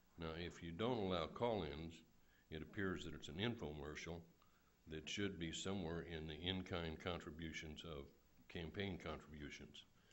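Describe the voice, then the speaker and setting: Very deep and low in pitch, a man speaks at a moderate pace with ordinary pitch variation and audible room echo. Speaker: public commenter at county meeting. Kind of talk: public comment speech. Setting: public meeting hall. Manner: soft-spoken.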